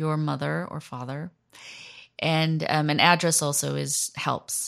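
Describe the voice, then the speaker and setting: A woman with an American accent speaks at a fairly slow pace in a very deep, low voice. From US. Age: 40s. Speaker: journalist. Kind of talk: interview.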